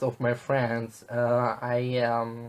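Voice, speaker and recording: A man speaks with an Italian accent at a medium pitch. His pace is very slow. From southern Italy. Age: 20s. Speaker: travel vlogger. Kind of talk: casual vlog monologue. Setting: at home. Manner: hesitant, many fillers.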